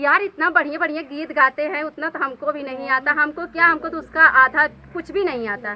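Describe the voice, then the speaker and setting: A raised, projected voice speaks at a moderate pace with ordinary pitch variation and big swings in loudness. Noticeable background noise runs underneath. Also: woman, high pitch for a woman. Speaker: comedy actress. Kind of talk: casual talk to camera.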